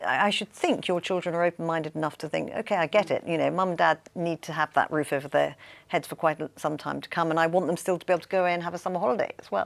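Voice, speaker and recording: Her voice is fairly low with vocal fry, and she speaks at a very fast pace with hardly any pauses. The woman is captured on a very clean recording with a silent background. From England. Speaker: wealth management executive. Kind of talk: panel discussion. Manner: halting, many fillers.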